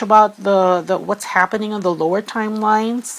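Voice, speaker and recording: A woman with a Filipino accent, flat and monotone, against noticeable background noise. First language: Filipino language. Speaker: tarot reader. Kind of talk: spiritual tarot reading. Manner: hesitant with many fillers.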